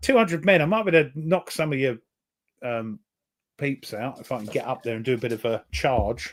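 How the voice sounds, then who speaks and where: Medium-pitched man with an English accent, fairly quick pace, lively intonation and big swings in loudness. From England. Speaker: board game player. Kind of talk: casual chat.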